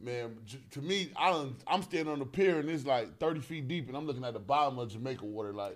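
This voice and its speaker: An animated man with a fairly high voice speaks at a very fast pace. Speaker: podcast host. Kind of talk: casual chat.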